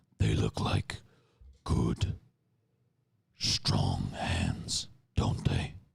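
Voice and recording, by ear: In a put-on character voice, a man speaks at a very slow pace with a very deep, low pitch. Long, frequent pauses break up his speech.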